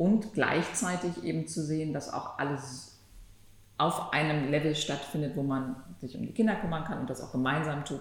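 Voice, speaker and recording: Audible room echo carries a woman's very deep, low voice. She speaks at a moderate pace with ordinary pitch variation. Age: 50s. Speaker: antitrust lawyer, law firm partner. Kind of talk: podcast conversation.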